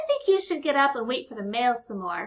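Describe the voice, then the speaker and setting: In a put-on character voice, a woman speaks high-pitched at a fairly quick pace. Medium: read story. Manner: warm, encouraging.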